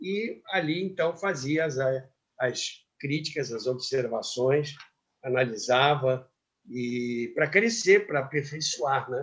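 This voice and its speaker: Very wide pitch swings mark a man talking at a fairly slow pace. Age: 80s+. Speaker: radio broadcaster. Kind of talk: interview answer.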